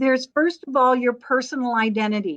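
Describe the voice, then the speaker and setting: Against a quiet background, a woman talks in a plain, everyday voice at a fairly quick pace, with a fairly high pitch and ordinary pitch variation. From Minnesota, US Midwest. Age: 60s. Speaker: LinkedIn coach. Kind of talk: live webinar talk.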